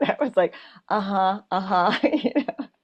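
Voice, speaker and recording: With an American accent, this is an unremarkable speaking voice with lively intonation, set against a quiet background. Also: woman. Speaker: podcast host. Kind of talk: casual interview chat.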